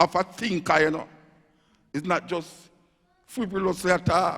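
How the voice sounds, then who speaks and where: A man speaks in a Jamaican accent at a high pitch. His pace is moderate and his intonation fairly even. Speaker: dub poet. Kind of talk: lecture-style talk to audience. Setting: live stage.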